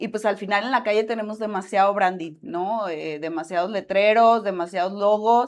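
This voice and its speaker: At a moderate pace and with hardly any pauses, a woman speaks at medium pitch with fairly even intonation. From Mexico, Michoacán. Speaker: graphic designer, branding. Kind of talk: podcast interview.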